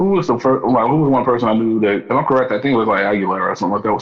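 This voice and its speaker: Noticeable background noise sits under a man speaking at medium pitch with an American accent. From US Midwest, Kansas City. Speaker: rapper and singer. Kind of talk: casual chat.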